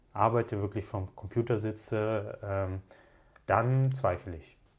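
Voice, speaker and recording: A man with a Russian accent speaks in a somewhat breathy voice. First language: Russian (speaking German). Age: 30s. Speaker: entrepreneur and long-distance hiker. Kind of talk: casual interview. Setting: pub or bar.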